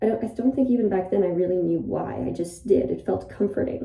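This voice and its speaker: A woman's dark, mellow voice at medium pitch with vocal fry and audible room echo. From Ireland. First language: Polish. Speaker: YouTuber. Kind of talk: casual monologue. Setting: bathroom, in a bathtub. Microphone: echoey room acoustics.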